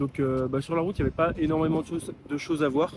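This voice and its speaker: Over noticeable background noise, a man speaks at a fairly quick pace. His pitch is fairly high and his intonation fairly even. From France, Maine-et-Loire. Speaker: travel vlogger. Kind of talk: vlog narration. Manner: hesitant, many fillers.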